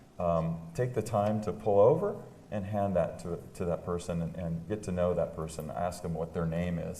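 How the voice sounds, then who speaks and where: At a moderate pace, the voice keeps a fairly even intonation, with audible room echo. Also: man. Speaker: real estate agent hosting a panel interview. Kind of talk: live panel interview on stage. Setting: stage with audience. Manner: loud; halting, many fillers.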